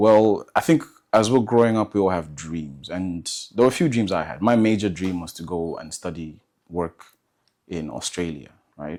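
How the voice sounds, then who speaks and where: A man with an American accent and a very deep, low pitch, big swings in loudness, moderate pace, and a very clean recording with a silent background. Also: ordinary pitch variation. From Zambia. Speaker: medical student, interview guest. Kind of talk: casual interview. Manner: hesitant, filler-heavy.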